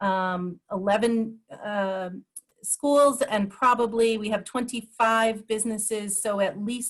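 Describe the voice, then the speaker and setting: A woman's medium-pitched, somewhat breathy voice with ordinary pitch variation. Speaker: program presenter. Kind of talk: webinar presentation.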